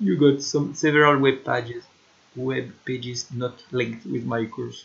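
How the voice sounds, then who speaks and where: At a fairly slow pace, a man with a French accent speaks in a medium pitch with ordinary pitch variation. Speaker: teacher. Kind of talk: lecture. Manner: halting, many fillers.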